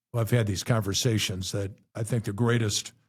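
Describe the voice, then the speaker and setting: A man with an American accent speaks at a fairly quick pace in a fairly low, somewhat breathy voice with fairly even intonation. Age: 70s. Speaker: rock radio DJ. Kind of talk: casual chat.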